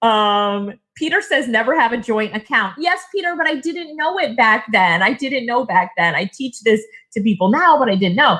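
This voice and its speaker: Bright and sharp in tone, a woman speaks at a fairly high pitch in an animated way, her pitch swinging very widely. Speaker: online business coach and speaker. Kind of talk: webinar presentation. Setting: online seminar with live chat. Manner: fast.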